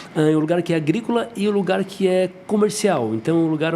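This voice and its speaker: A man's pitch varies in an ordinary way. Noticeable background noise can be heard throughout. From southern Brazil, Santa Catarina (Jaguaruna, south coast). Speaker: dentist. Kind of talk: podcast interview.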